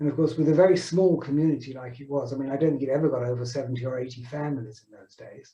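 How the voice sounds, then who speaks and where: This man speaks with a southern English accent, his fairly high pitch carrying a dark, mellow tone that is somewhat breathy, with fairly even intonation. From southern England. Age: 70s. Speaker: synagogue founder's son. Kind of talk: reminiscing. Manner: halting.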